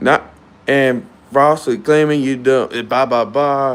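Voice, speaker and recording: A man's fairly high-pitched voice at a very slow pace. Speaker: gaming streamer. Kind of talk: casual livestream rant. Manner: halting.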